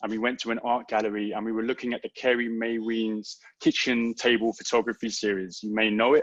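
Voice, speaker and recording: With a London accent and monotone, flat intonation, a man speaks with hardly any pauses in a dry, close sound with no echo. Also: medium pitch for a man, fairly quick pace. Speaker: poet. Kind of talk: poetry reading. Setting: online livestream event.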